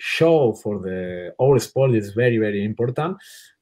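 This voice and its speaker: Speaking at a very slow pace with a non-native accent, a man with a fairly low voice uses lively intonation. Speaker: water polo coach. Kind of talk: interview.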